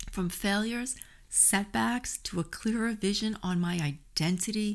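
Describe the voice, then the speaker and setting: The recording is very clean, with a silent background. A woman with a New York accent speaks at a moderate pace in an animated tone. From New York City. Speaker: podcast host and health coach. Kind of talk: solo podcast monologue. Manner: animated, friendly, conversational.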